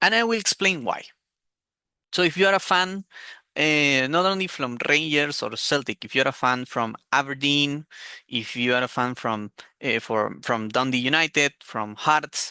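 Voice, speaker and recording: Someone speaks at a moderate pace in a Spanish accent. The background is quiet. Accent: Spanish accent, self-described as very bad. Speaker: football commentator youtuber. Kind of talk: opinion monologue. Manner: hesitant, many fillers.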